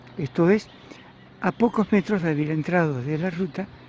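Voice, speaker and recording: Over noticeable background noise, a man speaks at a fairly slow pace with a fairly high pitch and ordinary pitch variation. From Argentina, Buenos Aires province (Carmen de Areco). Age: 70s. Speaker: local historian narrating memories. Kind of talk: narrated video tour. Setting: outdoors, riding a bicycle. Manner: conversational, relaxed.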